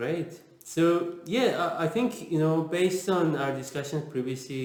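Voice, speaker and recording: A man with a Persian accent at a moderate pace, ordinary pitch variation, audible room echo and noticeable background noise. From Iran. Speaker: interviewer, agile author. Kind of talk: casual interview.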